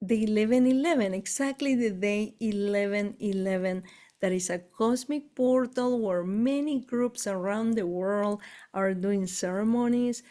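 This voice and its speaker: Speaking at a fairly slow pace with an Argentine accent, a woman has a fairly high pitch, a dark, mellow tone and ordinary pitch variation on a very clean recording with a silent background. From Argentina. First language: Spanish. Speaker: spiritual tour leader. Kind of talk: casual chat. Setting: live stream.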